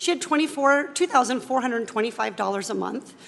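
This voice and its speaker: A woman speaks very fast with an American accent. Noticeable background noise runs underneath. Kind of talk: pointed questioning at a hearing. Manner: forceful, rapid, persistent.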